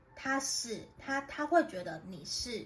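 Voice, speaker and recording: Amid noticeable background noise and audible room echo, a woman talks at a very slow pace with lively intonation. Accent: Taiwanese. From Taiwan, Tainan. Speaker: tarot reader. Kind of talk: tarot reading monologue. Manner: gentle, conversational.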